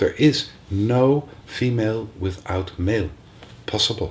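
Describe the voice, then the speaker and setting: Somewhat breathy, fairly low male speech with ordinary pitch variation. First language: not English. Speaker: spiritual teacher. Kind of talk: workshop talk. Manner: halting.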